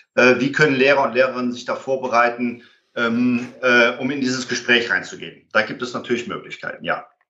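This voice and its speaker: Fairly even intonation and a fairly quick pace from a man at medium pitch. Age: 50s. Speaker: conflict and violence prevention trainer. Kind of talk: interview. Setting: remote call. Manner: hesitant with fillers.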